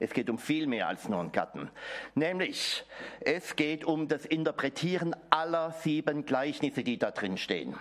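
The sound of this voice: At a moderate pace with few pauses, a man speaks in a fairly high, fairly bright voice that makes big pitch swings.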